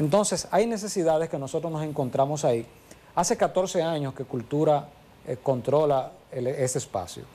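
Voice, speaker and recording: A man's fairly high, dark and mellow voice, lively in intonation, at a moderate pace. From Santiago, Dominican Republic. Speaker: monument administrator. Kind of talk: TV interview.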